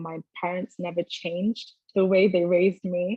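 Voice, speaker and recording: Speaking with a London accent, a woman talks at a fairly slow pace with a fairly low pitch. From London, England. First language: Twi. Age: 20s. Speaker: university student. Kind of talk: interview.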